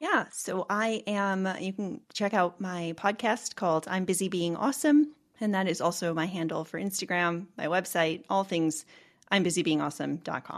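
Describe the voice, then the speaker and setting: At a moderate pace, a woman talks in an ordinary speaking voice of medium pitch with ordinary pitch variation. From Boston, US. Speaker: ADHD coach. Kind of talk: casual chat.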